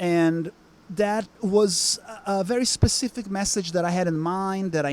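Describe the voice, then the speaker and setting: With a Portuguese accent, a man speaks at a high pitch and with fairly even intonation. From Brazil. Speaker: musician. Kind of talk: interview. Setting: music lounge. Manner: halting, many fillers.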